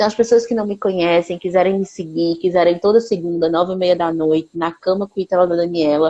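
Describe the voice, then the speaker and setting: A woman with a fairly low pitch speaks at a fairly quick pace, with hardly any pauses. Her intonation is fairly even. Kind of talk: live stream conversation. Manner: fast.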